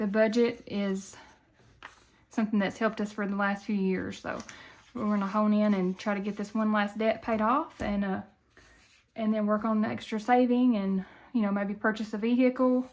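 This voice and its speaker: A woman with a Southern US accent and a fairly high pitch, in a monotone, flat intonation with long, frequent pauses, on a very clean recording with a silent background. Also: moderate pace. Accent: Southern country. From Tennessee, US South. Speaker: budgeting YouTuber. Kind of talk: casual vlog talk. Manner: halting, many fillers.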